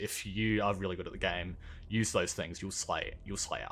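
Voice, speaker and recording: A man with an Australian accent talks fairly quickly in a fairly low pitch, recorded very cleanly with a silent background. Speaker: gaming YouTuber. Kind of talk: gameplay commentary.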